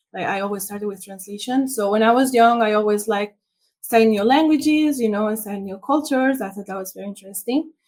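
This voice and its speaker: A woman with a Spanish accent speaks at a very fast pace in a fairly high pitch. Her loudness swings widely. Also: ordinary pitch variation. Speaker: international SEO consultant. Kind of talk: interview.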